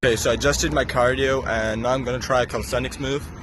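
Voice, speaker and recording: Audible room echo surrounds a man's voice. The background carries noticeable noise. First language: not English. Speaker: vlogger. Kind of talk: casual vlog. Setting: outdoors. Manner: halting.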